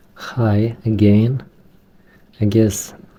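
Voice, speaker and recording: A man with a Romanian accent. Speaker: Linux hobbyist tech tutorial maker. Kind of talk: tutorial. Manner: halting, not fluent.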